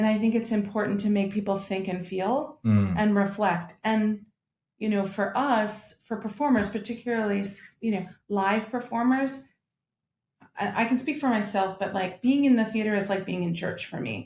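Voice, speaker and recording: A woman with an American accent speaks at a moderate pace, her voice somewhat breathy with ordinary pitch variation. The recording is very clean, with a silent background. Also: medium pitch for a woman. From United States. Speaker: opera singer, mezzo-soprano. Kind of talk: interview answer.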